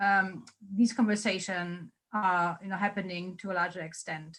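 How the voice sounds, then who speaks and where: A woman speaks at a medium pitch with a German accent. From Germany. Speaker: policy researcher. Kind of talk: Q&A after a lecture.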